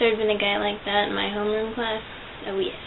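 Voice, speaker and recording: A quiet woman's voice at medium pitch, very fast and monotone with flat intonation, amid audible room echo and noticeable background noise. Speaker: vlogger. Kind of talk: casual vlog monologue. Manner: quiet, subdued.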